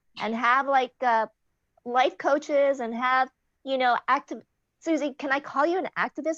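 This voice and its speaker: Recorded with a dry, close sound and no echo against a quiet background, a woman speaks at a high pitch and moderate pace with ordinary pitch variation. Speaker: talk show host. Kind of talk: casual chat.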